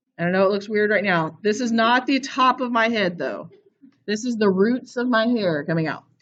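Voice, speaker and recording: A woman uses an ordinary speaking voice at a medium pitch and a moderate pace. Her intonation is lively. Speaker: art teacher. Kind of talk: classroom lesson.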